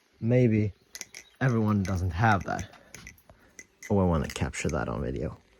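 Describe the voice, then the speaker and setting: A man's very deep, low voice at a moderate pace, with lively intonation, long, frequent pauses and light background noise. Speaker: knife-making video creator. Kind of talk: casual vlog talk. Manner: halting with fillers. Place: garden. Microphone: phone near.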